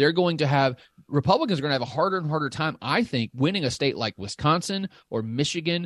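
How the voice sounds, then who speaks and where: With a slight Southern US accent, a man speaks at a fairly quick pace and a fairly high pitch with ordinary pitch variation, the sound dry and close with no echo against a quiet background. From Southern Illinois. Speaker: political science professor and data analyst. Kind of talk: interview.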